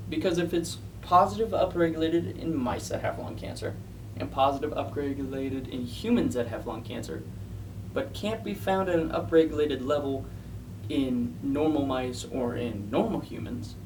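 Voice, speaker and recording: Very wide pitch swings mark this man's speech. Noticeable background noise runs underneath. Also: medium pitch for a man, moderate pace. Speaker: science paper reviewer. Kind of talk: casual science explainer to camera. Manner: hesitant, with stutters.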